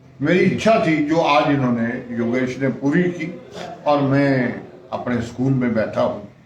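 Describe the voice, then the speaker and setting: The speaker's pitch varies in an ordinary way. Audible room echo and noticeable background noise are present. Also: man, fairly high pitch for a man. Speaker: retired bank clerk, former student. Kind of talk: interview. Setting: school headmaster's room.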